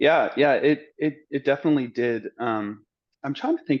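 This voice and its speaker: This man speaks at a moderate pace with an American accent and fairly even intonation. He has an unremarkable speaking voice. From Arizona, Scottsdale. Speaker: medical student. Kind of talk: interview. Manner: casual.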